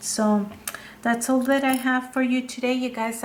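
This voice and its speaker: A woman's fairly high-pitched voice with a non-native accent, fairly slow and monotone with flat intonation, over noticeable background noise. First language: not English. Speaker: craft video creator. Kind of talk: tutorial. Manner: halting, with fillers.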